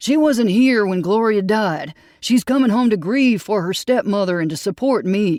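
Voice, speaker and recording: A put-on character voice, fairly high in pitch and at a moderate pace, in a very clean recording with a silent background. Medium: read story. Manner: guarded, emotional.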